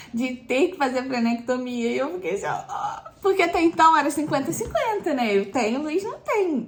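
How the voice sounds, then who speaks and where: A woman's pitch swings very widely while she keeps a moderate pace. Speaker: pregnant vlogger. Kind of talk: casual vlog talk. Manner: hesitant, many fillers.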